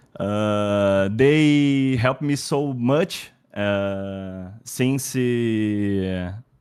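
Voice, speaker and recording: A man is speaking. He has a non-native accent. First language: Portuguese. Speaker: esports player. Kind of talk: post-match interview. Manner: halting.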